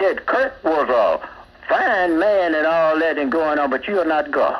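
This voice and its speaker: A man speaks at a fairly slow pace. Background noise is noticeable throughout. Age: 80s+. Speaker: caller. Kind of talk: call-in rant. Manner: animated; repetitive with fillers.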